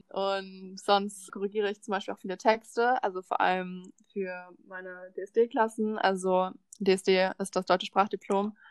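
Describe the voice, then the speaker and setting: A woman at medium pitch and a fairly slow pace, with monotone, flat intonation, big swings in loudness and a dry, close sound with no echo. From Berlin, Germany. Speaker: volunteer language assistant. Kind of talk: casual chat.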